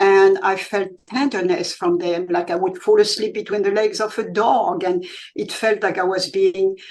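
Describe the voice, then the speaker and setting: A woman talks at a moderate pace with medium pitch and ordinary pitch variation. Hers is a plain, everyday voice. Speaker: author. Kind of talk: interview answer.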